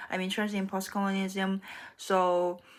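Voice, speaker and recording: Heard in a very clean recording against a silent background, the speaker has a Korean accent. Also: woman. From South Korea. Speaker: graduate student. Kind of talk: casual vlog monologue. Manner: halting, many fillers and restarts.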